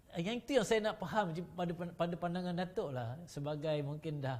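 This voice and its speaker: At a fairly quick pace, a man with a plain, everyday voice speaks fairly high, his intonation lively. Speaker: talk show host. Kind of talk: panel discussion.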